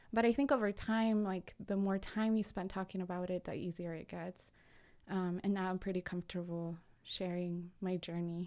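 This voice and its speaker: A woman with a Spanish accent speaks in a dark, mellow tone with fairly even intonation on a very clean recording with a silent background. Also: medium pitch for a woman, moderate pace. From Peru, Lima. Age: 20s. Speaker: personal finance entrepreneur. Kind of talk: casual interview. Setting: studio.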